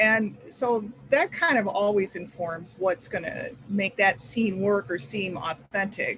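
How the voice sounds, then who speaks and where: Speech comes at a fairly slow pace against noticeable background noise. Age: 60s. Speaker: author. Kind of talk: panel discussion.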